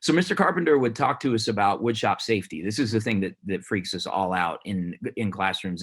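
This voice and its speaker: In a plain, everyday voice, a man with an American accent speaks fairly quickly at a fairly low pitch with ordinary pitch variation, on a very clean recording with a silent background. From Denver, Colorado (US). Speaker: teacher. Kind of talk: award speech.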